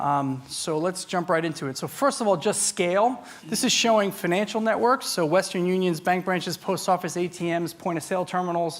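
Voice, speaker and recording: Loud and high-pitched, a man talks at a fairly quick pace with hardly any pauses. His pitch variation is ordinary. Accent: New York. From US Northeast, New York. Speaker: tech industry speaker. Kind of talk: conference talk. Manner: fast.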